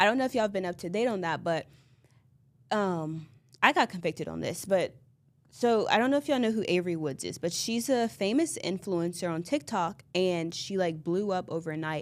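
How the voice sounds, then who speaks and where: A woman talks in a normal speaking voice at a medium pitch. Her intonation is lively. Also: fairly quick pace, very clean recording, silent background. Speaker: podcast host. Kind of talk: solo podcast monologue.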